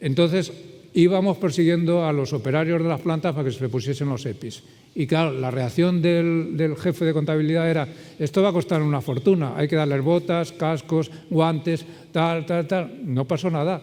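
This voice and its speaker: A man with a normal speaking voice talks at a fairly high pitch. His pace is moderate and his pitch varies in an ordinary way. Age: 60s. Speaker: circular economy consultant. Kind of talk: conference talk with Q&A.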